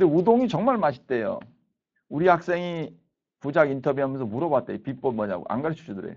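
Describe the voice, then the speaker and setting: Over a quiet background, a man with a fairly high pitch talks at a very fast pace, his pitch swinging very widely. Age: 60s. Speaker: professor. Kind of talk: lecture. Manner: casual, conversational.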